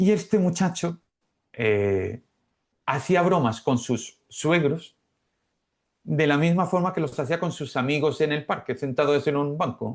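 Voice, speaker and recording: A man with a fairly high voice speaks at a fairly slow pace, leaving long, frequent pauses, against a quiet background. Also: ordinary pitch variation. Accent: Andalusian. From Málaga, Spain. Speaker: Spanish teacher, former telecom engineer. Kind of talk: podcast interview answer.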